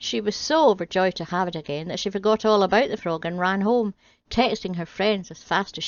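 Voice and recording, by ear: A natural voice reading aloud.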